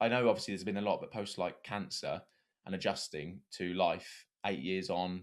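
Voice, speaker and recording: A man's very deep, low voice with an English accent, moderate in pace and fairly even in intonation, on a very clean recording with a silent background. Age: 20s. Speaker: podcast host. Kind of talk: casual chat.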